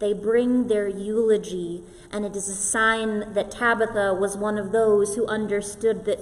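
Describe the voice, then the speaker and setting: Her intonation is monotone and flat, with noticeable background noise around the woman's voice. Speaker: pastor. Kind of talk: sermon delivered to a congregation.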